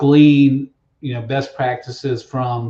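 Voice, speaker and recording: Somewhat breathy, a man with a medium pitch speaks with an American accent. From US South, Alabama. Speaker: process engineering consultant. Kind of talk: podcast interview.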